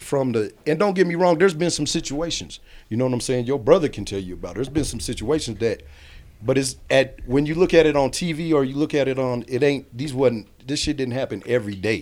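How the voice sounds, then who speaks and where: Lively intonation from a man with a normal speaking voice and an American accent, medium in pitch and at a fairly quick pace. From Kansas. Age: 40s. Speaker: recently released prisoner. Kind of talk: casual interview.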